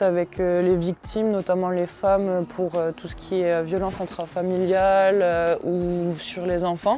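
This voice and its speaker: A woman's fairly low, monotone voice with flat intonation over music in the background. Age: 20s. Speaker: gendarme. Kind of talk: interview testimony. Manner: hesitant, many fillers.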